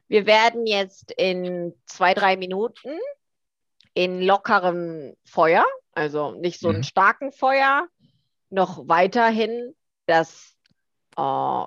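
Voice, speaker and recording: A woman uses a medium pitch and lively intonation as she talks. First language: Korean (speaking German). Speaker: language teacher. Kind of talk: casual chat.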